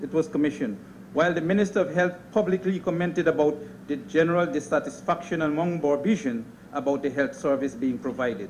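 Delivered at a very fast pace, the speech has lively intonation over light background noise. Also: man, fairly high pitch for a man. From Guyana. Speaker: politician. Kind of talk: parliamentary speech. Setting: parliament chamber. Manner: formal. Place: hall. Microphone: podium.

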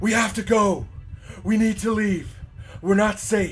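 A man does a put-on character voice, high in pitch and monotone, flat in intonation, at a moderate pace. His loudness stays very even over light background noise. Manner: frantic, urgent, repeating himself.

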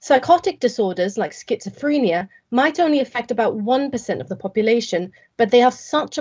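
Her intonation lively and her pace moderate, a woman talks over a quiet background. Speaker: presenter. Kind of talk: competition talk, rehearsed presentation. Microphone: video call.

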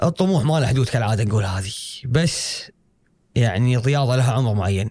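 A man with a Kuwaiti accent speaks at a fairly quick pace in a dark, mellow, somewhat breathy tone. His intonation is lively. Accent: Kuwaiti Gulf Arabic. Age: 20s. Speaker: karate athlete; guest. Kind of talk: interview. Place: studio. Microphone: studio mic.

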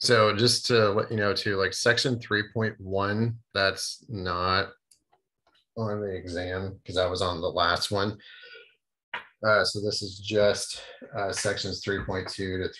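Against a quiet background, a man speaks very slowly in a fairly low pitch, his tone bright and sharp and his intonation monotone and flat. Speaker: math instructor. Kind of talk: lecture. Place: office. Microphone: video call.

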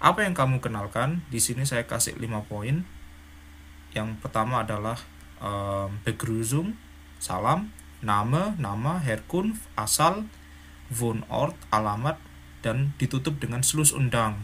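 Speaking at a very slow pace, a man with a medium pitch makes very wide pitch swings. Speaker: German language teacher. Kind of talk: tutorial. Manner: animated.

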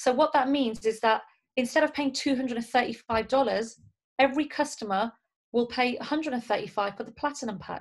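Against a quiet background, a woman speaks at a fairly quick pace. Her high pitch shows ordinary variation. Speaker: network marketing team leader and trainer; trainer. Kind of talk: motivational training talk. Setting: video call. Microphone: webcam.

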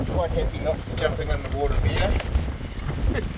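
A man speaks over loud background noise. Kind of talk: casual vlog chat. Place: boat. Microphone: phone near.

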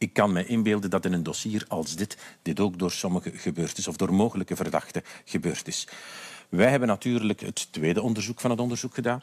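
With a Flemish accent, a man talks at a fairly quick pace in a fairly low voice. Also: ordinary pitch variation, dry, close sound with no echo, very clean recording, silent background. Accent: Flemish Dutch. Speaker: politician. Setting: studio.

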